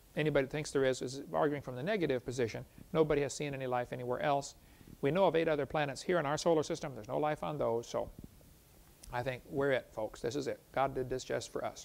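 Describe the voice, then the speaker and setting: A man's voice carries vocal fry as he rattles along very fast. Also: ordinary pitch variation. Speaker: presenter. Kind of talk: lecture. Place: studio.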